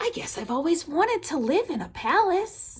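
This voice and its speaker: Putting on a character voice, a woman goes extremely high in pitch with very wide swings at a moderate pace. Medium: read story. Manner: soft, wondering.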